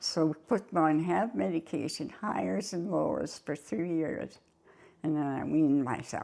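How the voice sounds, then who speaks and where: A woman speaks at a fairly slow pace in a very deep, low voice with vocal fry, a dark, mellow tone and very wide pitch swings. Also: quiet background. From Canada. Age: 80s+. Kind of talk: interview answer.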